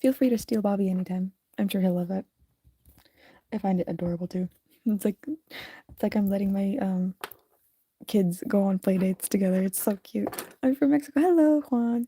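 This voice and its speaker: Somewhat breathy with a dark, mellow tone, a woman with an American accent talks at a fairly quick pace with long, frequent pauses in a dry, close sound with no echo. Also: medium pitch for a woman, ordinary pitch variation. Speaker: streamer and digital artist. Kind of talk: casual live stream chat while drawing. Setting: live stream. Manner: casual, halting.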